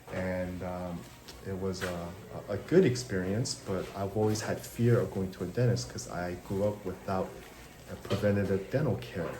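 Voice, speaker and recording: At a moderate pace, a man talks in a fairly low pitch with ordinary pitch variation, amid audible room echo and noticeable background noise. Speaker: dental hygienist. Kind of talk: casual vlog. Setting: dental chair. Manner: loud.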